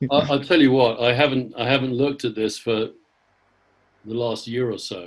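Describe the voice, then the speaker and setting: At a fairly quick pace, a man with an American accent speaks at medium pitch with fairly even intonation. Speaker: leadership coach and author. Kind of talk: interview.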